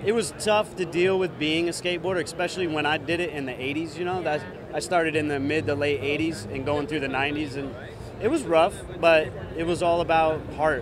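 Noticeable background noise sits under a dry sound with no echo. A man speaks at a fairly quick pace with ordinary pitch variation. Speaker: interview guest. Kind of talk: interview answer. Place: hall. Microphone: handheld.

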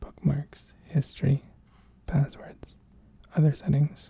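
The speaker is soft-spoken and talks at a fairly slow pace. The sound is dry with no echo and a quiet background. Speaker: tech reviewer. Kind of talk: ASMR-style unboxing and casual tech review.

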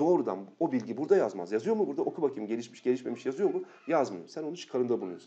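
Very fast and with hardly any pauses, a man speaks at a fairly high pitch with vocal fry and very wide pitch swings. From Turkey. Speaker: geography teacher. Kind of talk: lecture. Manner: animated.

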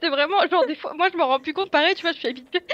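A woman speaks at an extremely high pitch. Her pitch variation is ordinary. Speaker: streamer. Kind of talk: casual chat. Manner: loud. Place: home room.

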